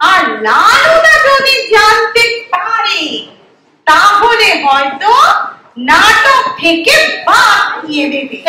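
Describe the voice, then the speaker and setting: A woman's dramatic, put-on character voice, extremely high and swinging very widely in pitch, at a very slow pace with a slight echo. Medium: stage play. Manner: shrill, fussy, dramatic.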